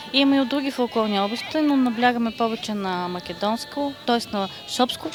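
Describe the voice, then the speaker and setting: Noticeable background noise sits behind a woman speaking at a moderate pace. Her pitch is fairly high and her intonation lively. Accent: western Bulgarian. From Bulgaria, Shopluk region. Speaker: folk singer, leader of a vocal trio. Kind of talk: interview. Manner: hesitant, with filler sounds.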